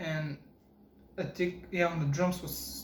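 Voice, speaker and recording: Amid audible room echo, a man talks very slowly in a monotone, flat voice at a fairly high pitch. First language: not English. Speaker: guitar podcaster. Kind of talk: casual chat. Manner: halting.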